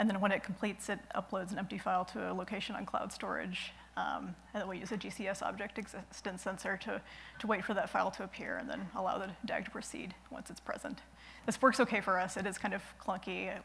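Very fast speech from a woman, ordinary pitch variation, light background noise. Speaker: conference presenter. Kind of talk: technical conference talk. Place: stage.

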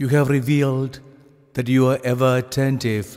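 Speaking at a fairly slow pace, a man has an unremarkable speaking voice, medium in pitch with fairly even intonation. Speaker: priest. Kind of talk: fervent prayer, intercessory. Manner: solemn, earnest, pleading.

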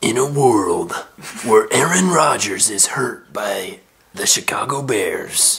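A man's raspy, put-on character voice, very slow, with very wide pitch swings. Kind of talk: dramatic movie-trailer parody voice in casual sports chat. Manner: dramatic, cinematic.

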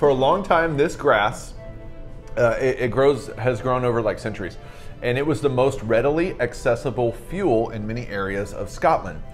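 A man delivers his words at a moderate pace while faint music sits in the background. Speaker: co-host. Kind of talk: casual explanatory chat. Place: home room.

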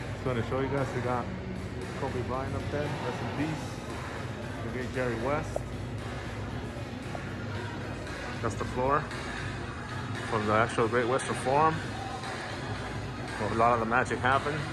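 A man speaks with long, frequent pauses over loud music in the background. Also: fairly slow pace. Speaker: travel vlogger. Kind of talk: casual vlog chat. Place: shop. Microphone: phone near.

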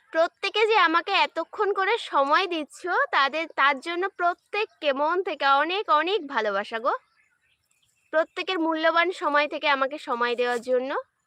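A raised, projected woman's voice, extremely high in pitch, bright and sharp, with lively intonation. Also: dry, close sound with no echo. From West Bengal, India. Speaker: live-stream content creator. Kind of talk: casual livestream chat with viewers. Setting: outdoors in a garden.

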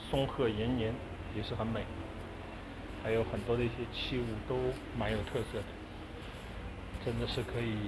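Speech at a moderate pace competes with loud background noise. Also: man. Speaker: shopper vlogger. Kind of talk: casual vlog chat. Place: shop. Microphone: phone near.

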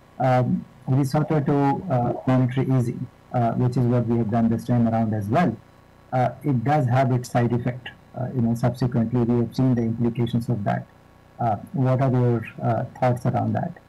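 Music plays in the background as a man speaks at a moderate pace with fairly even intonation. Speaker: panel moderator. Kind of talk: conference introduction questions. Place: office. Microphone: video call.

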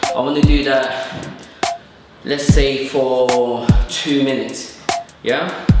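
A man's voice with audible room echo and music in the background. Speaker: boxer instructor. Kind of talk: tutorial. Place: studio.

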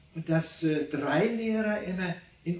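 The voice has ordinary pitch variation, and audible room echo surrounds it. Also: man. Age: 80s+. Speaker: contemporary witness; witness. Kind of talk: interview. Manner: halting. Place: home room.

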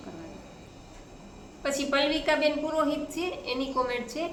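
Noticeable background noise and audible room echo fill the space around the woman talking. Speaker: family vlogger, mother. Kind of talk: casual vlog and weight-loss tips.

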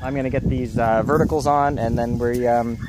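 Amid loud background noise, a man speaks with ordinary pitch variation in a dry sound with no echo. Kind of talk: casual vlog chat. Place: open country. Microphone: phone near.

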